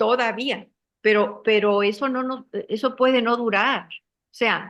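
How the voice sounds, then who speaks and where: A woman's very slow, monotone delivery, flat in intonation, with big swings in loudness. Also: fairly high pitch for a woman. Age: 70s. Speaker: political activist. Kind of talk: interview.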